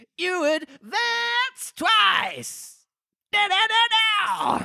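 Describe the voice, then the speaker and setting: Putting on a character voice, a man speaks in an extremely high pitch at a very slow pace. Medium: read story. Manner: sorrowful, sighing.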